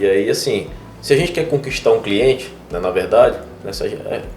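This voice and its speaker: A man rattles along at a very fast pace with music in the background. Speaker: podcast host and real estate broker. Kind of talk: casual interview chat.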